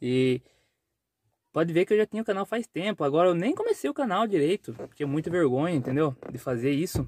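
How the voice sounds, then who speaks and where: A man talks at a fairly quick pace with a high pitch and lively intonation. The sound is dry with no echo. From Brazil, rural countryside. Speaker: vlogger and truck driver; vlogger. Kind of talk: casual vlog talk to camera. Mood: defiant about criticism. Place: car. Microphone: phone near.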